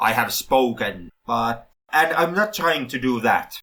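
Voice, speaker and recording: In a Finnish accent, a man speaks at a very slow pace with a bright, sharp tone. His medium pitch moves in very wide swings. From Finland. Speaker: film podcast host. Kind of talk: casual podcast discussion. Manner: halting, many self-corrections.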